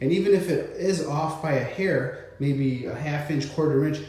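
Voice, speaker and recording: Noticeable background noise and audible room echo surround a man's voice. He has a fairly high pitch and a moderate pace. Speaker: DIY tile installer. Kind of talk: tutorial. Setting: on site in a bathroom.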